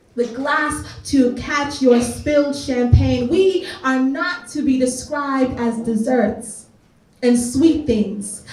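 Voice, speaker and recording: At a very slow pace, a woman speaks in a high pitch with ordinary pitch variation over noticeable background noise. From Canada (Greater Toronto Area). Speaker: spoken word artist. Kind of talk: spoken word poetry performance.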